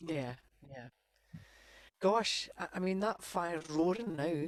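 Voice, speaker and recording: A woman with a Scottish accent speaks at a medium pitch with ordinary pitch variation, in a dry, close sound with no echo. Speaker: singer and event co-host. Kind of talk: casual chat.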